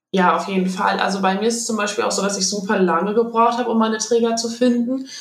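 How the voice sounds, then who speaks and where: Woman at a fairly quick pace with fairly even intonation, noticeable background noise and audible room echo. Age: 20s. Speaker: patient sharing experience, health blogger. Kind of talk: interview testimony.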